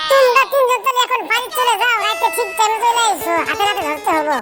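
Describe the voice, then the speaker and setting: Using a cartoonish character voice, a woman speaks at an extremely high pitch and a moderate pace with lively intonation. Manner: blunt, colloquial.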